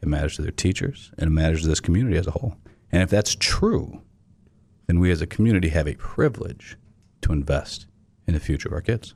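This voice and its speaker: A man with a very deep, low pitch speaks very fast, his intonation lively. Long pauses come often. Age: 40s. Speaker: nonprofit executive director. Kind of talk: interview. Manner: loud; animated.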